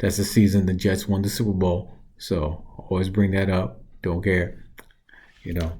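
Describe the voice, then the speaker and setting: A man's somewhat breathy, fairly low-pitched voice with a dark, mellow tone. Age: 40s. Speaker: reaction video host. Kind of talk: casual commentary. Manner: casual, with fillers.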